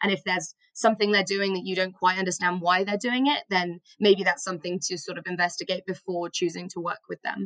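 An unremarkable speaking voice moves at a fairly quick pace with fairly even intonation, hardly any pauses and a dry, close sound with no echo. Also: woman, medium pitch for a woman. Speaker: podcast host and volunteer. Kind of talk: casual podcast conversation.

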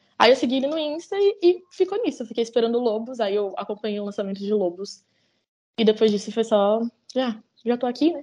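This woman has a fairly high pitch, a dark, mellow tone and lively intonation. She talks at a fairly quick pace. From Brazil, Campinas (São Paulo state interior). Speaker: music fan. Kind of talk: casual interview chat.

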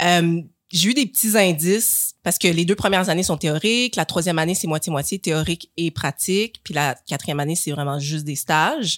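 A woman with a plain, everyday voice and fairly low pitch speaks at a moderate pace with ordinary pitch variation, in a very clean recording with a silent background and a dry, close sound with no echo. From Quebec. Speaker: podiatrist and author. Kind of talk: casual chat.

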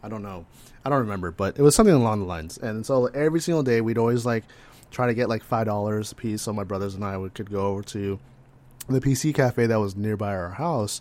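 An American-accented man with a fairly low pitch speaks very fast, with ordinary pitch variation. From California. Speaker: podcast co-host. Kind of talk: casual chat.

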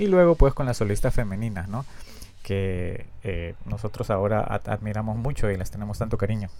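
A dark, mellow tone at a moderate pace. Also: man. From Peru. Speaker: podcast host, fan collector. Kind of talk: casual solo podcast monologue. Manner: halting, with frequent fillers and repetitions.

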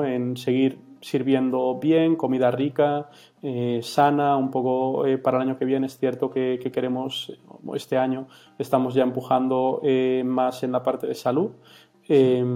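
A man talks at a fairly slow pace with a medium pitch and flat, monotone intonation. Noticeable background noise sits behind him. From Galicia, Spain (Vigo). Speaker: startup founder. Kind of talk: interview. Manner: halting, many fillers.

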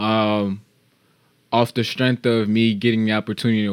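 A man speaks in a normal speaking voice with an American accent at a moderate pace, on a very clean recording with a silent background. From Chicago. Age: 20s. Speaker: podcast co-host. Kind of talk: casual chat.

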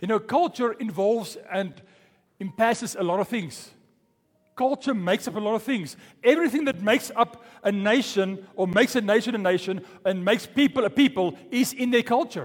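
A man speaks with lively intonation. His pitch is high. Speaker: pastor. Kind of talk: sermon. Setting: church. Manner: fast talker.

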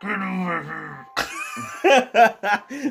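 A man's high, put-on character voice with lively intonation. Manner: gruff, commanding.

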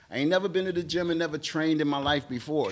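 Speaking at a very fast pace with an American accent and ordinary pitch variation, the voice comes over noticeable background noise. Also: man. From Atlanta, US South. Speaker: stand-up comedian. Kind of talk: casual interview chat.

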